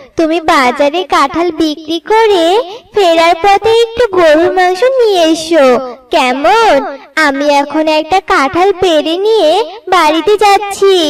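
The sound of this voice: In a cartoonish character voice, the words come out at a very slow pace. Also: female-sounding voice, extremely high pitch for a woman.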